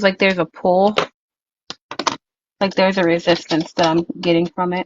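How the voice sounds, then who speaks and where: With a Louisiana accent, a woman talks in a fairly low pitch with monotone, flat intonation. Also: moderate pace. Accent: messy Louisiana. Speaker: crafter. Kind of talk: casual chat. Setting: live stream.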